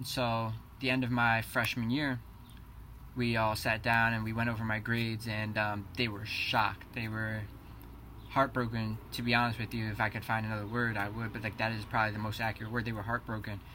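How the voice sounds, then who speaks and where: A man with a New Jersey accent talks at a fairly quick pace in a medium-pitched, bright, sharp tone, his intonation monotone and flat, with audible room echo around him. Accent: New Jersey American. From New Jersey, Keyport. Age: 20s. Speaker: college student. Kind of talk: class introduction presentation.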